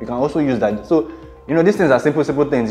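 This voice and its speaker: A man talks with ordinary pitch variation while faint music plays in the background. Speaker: presenter. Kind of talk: tutorial. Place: home room. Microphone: lapel.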